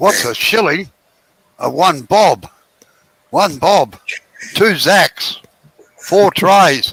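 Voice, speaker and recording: In an Australian accent, a man speaks very slowly at a high pitch with lively intonation and long, frequent pauses, in a dry, close sound with no echo. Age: 70s. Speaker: woodturner. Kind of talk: casual chat.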